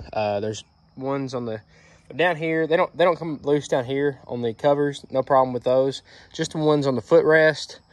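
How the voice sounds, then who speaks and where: At a moderate pace, a man talks with fairly even intonation in a dry sound with no echo. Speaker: mower owner reviewer. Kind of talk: casual product review. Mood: mildly annoyed, casual. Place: street. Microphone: phone near.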